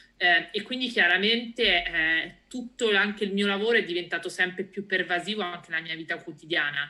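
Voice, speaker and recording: A woman talks at a fairly quick pace in a bright, sharp tone. Her pitch is medium with ordinary variation. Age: 30s. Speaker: data science manager in real estate. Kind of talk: casual interview. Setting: remote call.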